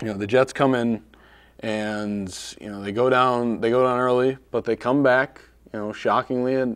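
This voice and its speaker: This man speaks at a fairly slow pace with fairly even intonation. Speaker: sports show co-host. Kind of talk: casual sports talk. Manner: monotone.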